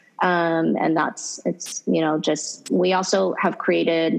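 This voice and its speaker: A woman's voice comes through with background noise clearly audible. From Hawaii. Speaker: fashion brand founder and CEO. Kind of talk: interview conversation.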